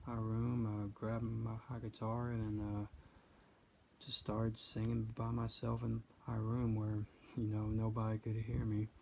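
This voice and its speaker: This man has a dark, mellow tone at a medium pitch and sounds somewhat breathy. His delivery is monotone and flat, at a moderate pace. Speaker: country singer-songwriter. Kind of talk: personal storytelling monologue. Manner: halting, many fillers and repetitions.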